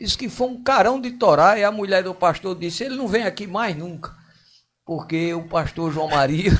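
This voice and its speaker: A man's high voice with lively intonation and big swings in loudness. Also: moderate pace. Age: 60s. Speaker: local politician. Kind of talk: radio interview.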